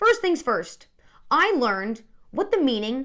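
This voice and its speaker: A woman speaks loudly at a moderate pace, her tone animated and her pitch swinging very widely. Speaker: sports comedy show host. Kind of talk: scripted comedic sports commentary.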